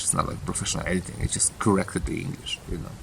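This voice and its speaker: A man talks at a very fast pace. He has a Russian accent. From Ukraine. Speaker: author. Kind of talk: casual monologue. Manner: halting.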